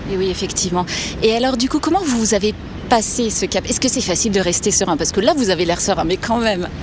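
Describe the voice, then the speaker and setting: A woman's fairly high voice at a very fast pace, with lively intonation and very even loudness, over noticeable background noise. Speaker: podcast host. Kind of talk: interview. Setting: outdoors by a river.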